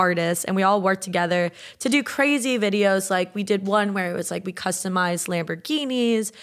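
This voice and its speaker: On a very clean recording with a silent background, a woman with an unremarkable speaking voice and medium pitch talks at a moderate pace. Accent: American. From US South, South Florida (Boca Raton). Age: 20s. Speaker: artist and YouTuber. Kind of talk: casual chat.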